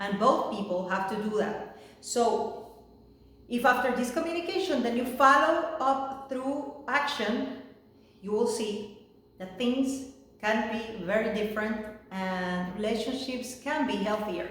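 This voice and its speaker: Against noticeable background noise and audible room echo, a woman with a Spanish accent speaks at a fairly slow pace in a fairly high pitch, with ordinary pitch variation. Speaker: life coach. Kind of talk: talking-head video. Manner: halting, many fillers.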